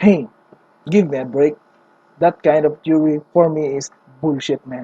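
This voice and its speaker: Speaking with a non-native accent, a woman uses a very deep, low pitch with ordinary pitch variation at a moderate pace. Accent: non-native English accent, self-described. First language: not English. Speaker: anime fan theorist. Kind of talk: casual video commentary. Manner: animated.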